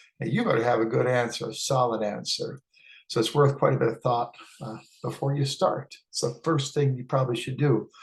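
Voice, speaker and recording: Speaking at a fairly quick pace, a man uses a medium pitch with vocal fry and fairly even intonation. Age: 60s. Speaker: hiking vlogger. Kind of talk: casual talk-to-camera tutorial. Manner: hesitant with frequent uh fillers.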